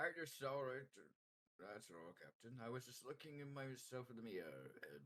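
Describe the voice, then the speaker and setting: A man puts on a character voice at a medium pitch. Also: moderate pace. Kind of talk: playful tabletop roleplay. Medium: actual play.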